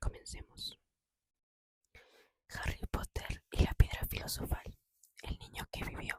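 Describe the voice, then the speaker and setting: A woman whispers at a fairly slow pace, the sound dry and close with no echo. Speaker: ASMR channel host reading a book aloud. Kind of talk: whispered audiobook reading, ASMR. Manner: whispered, soft.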